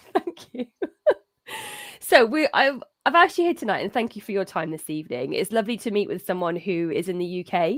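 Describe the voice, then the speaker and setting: An enthusiastic speaker with a British accent, talking at a fairly quick pace. The pitch swings very widely, and the sound is dry and close with no echo. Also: woman, medium pitch for a woman. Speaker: cat behaviour advisor and show host. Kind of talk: live-streamed interview.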